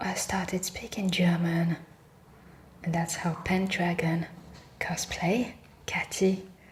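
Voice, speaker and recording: Very slow speech with long, frequent pauses. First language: French. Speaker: ASMR reiki practitioner. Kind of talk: ASMR reiki session with casual chat. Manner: soft-spoken; rambling, relaxed.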